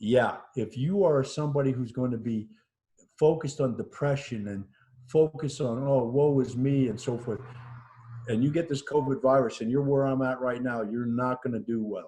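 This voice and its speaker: Dark and mellow in tone, a man speaks at a medium pitch with ordinary pitch variation. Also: moderate pace. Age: 60s. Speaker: COVID-19 survivor. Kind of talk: interview testimony. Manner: halting.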